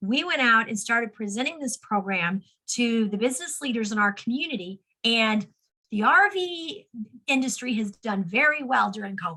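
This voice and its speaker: A woman with a plain, everyday voice speaks at a moderate pace and fairly high pitch, her intonation lively. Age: 60s. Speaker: suicide prevention advocate. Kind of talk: interview.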